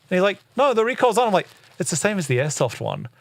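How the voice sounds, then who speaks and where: With an Australian accent, a man talks at a very fast pace using very wide pitch swings. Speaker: airsoft podcast host. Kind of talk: casual chat.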